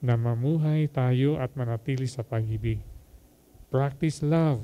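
A man with a dark, mellow tone speaks at a fairly slow pace with ordinary pitch variation. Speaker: homilist. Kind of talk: homily. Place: hall. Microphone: handheld.

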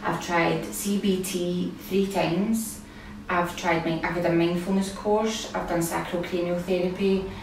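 A woman talks at a fairly slow pace with a fairly low pitch. Audible room echo and light background noise surround her voice. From Scotland. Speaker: kambo participant. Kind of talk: testimony. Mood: earnest, reflective. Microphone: camera far.

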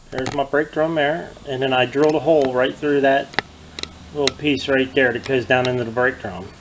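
Noticeable noise in the background behind a man. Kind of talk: tutorial. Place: garage.

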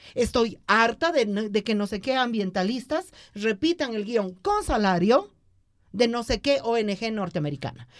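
A woman at a fairly high pitch, fairly slow in pace, with very wide pitch swings over a quiet background. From Bolivia. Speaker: radio host. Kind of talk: political interview. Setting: studio. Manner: animated. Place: studio. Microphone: studio mic.

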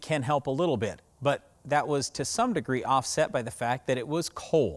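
A moderate pace over a quiet background. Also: man. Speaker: farm show host. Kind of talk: explanatory commentary to camera. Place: open country.

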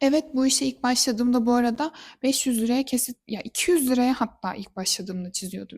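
A high-pitched woman speaks at a moderate pace with ordinary pitch variation, her voice dry and close with no echo in a very clean recording over a silent background. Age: 20s. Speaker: interior designer and vlogger. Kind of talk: personal vlog monologue.

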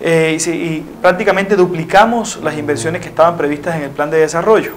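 A man's voice over light background noise. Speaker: interviewee. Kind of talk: interview answer. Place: studio. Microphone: lapel.

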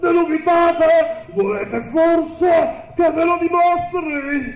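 At a very slow pace, someone uses a put-on character voice over clear background noise. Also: man, extremely high pitch for a man. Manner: boastful.

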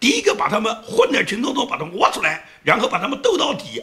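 A man speaks at an extremely high pitch. His voice swings very widely up and down. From China. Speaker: political commentator. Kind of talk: solo commentary monologue. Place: home room.

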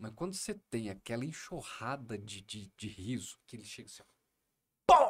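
The background stays quiet. The talking goes at a moderate speed. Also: man. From Minas Gerais, Brazil (Triângulo Mineiro); Minas Gerais, Brazil. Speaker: comedian. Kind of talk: podcast interview. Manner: animated. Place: studio. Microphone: studio mic.

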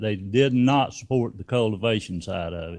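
A man with a north Georgia accent at a moderate pace. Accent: Southern US (north Georgia). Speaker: sheriff. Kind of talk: candidate forum speech. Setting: community room with audience.

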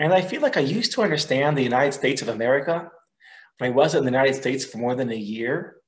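A somewhat breathy man at fairly high pitch, with ordinary pitch variation, a very fast pace and a quiet background. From Israel. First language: Hebrew. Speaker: research fellow and teacher; teacher. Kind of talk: lecture. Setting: video call. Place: home room. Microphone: webcam.

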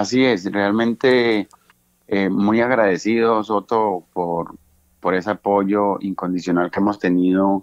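At a very slow pace, a man speaks with very even loudness and fairly even intonation. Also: fairly low pitch for a man. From Cali, Colombia. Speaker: bandleader and pianist. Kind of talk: interview. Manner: hesitant, many fillers.

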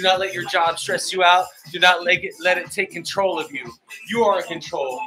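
A man's raised, projected voice at a fairly quick pace, with clear music in the background. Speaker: fitness instructor. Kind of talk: workout coaching. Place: home room. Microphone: earbuds.

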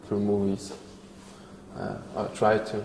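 With a Polish accent, a man talks at a fairly slow pace in a fairly low voice, with audible room echo and light background noise. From Poland. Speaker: actor. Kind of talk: interview answer. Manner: hesitant, thoughtful. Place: hall. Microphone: lapel.

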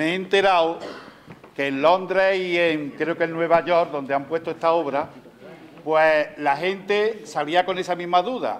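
Ordinary pitch variation runs through this fairly slow speech, heard over light background noise. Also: man. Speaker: presenter. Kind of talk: public talk to audience. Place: stage.

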